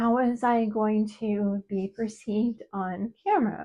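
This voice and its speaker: A woman talks at a fairly high pitch against a quiet background. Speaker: writing teacher. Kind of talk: casual talk to camera. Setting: solo video to camera.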